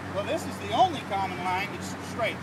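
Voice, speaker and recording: A man talks at a very fast pace. Loud background noise is present. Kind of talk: product demonstration talk. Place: street. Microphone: phone near.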